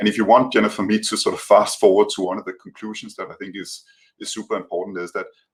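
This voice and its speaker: A man with a European accent. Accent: heavy European. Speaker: tech company policy representative. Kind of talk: panel discussion. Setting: video call. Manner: hesitant, many fillers and repetitions. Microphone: sound problems at start.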